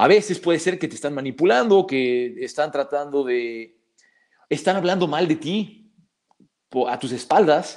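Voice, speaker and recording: In a very clean recording with a silent background, a man speaks at a fairly high pitch and a fairly slow pace, with lively intonation and long, frequent pauses. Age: 30s. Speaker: psychologist and martial arts teacher. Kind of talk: casual interview.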